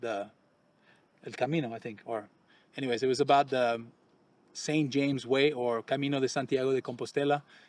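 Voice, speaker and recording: At a very fast pace, a man in a Quebec accent speaks at medium pitch with ordinary pitch variation. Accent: French Canadian accent in English. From Quebec, Canada. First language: French. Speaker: expat real estate channel host. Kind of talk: casual chat. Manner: halting.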